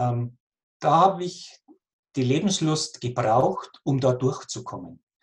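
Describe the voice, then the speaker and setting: With a Bavarian accent, a somewhat breathy man speaks very slowly with lively intonation and long, frequent pauses. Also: fairly high pitch for a man. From Lower Bavaria, near Passau. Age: 40s. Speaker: cancer patient coach. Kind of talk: interview.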